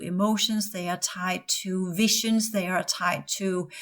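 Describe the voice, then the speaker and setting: A woman speaks in a Danish accent at medium pitch. Her pace is very slow. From Denmark. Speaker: spiritual teacher and former psychotherapist. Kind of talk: podcast monologue. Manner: halting.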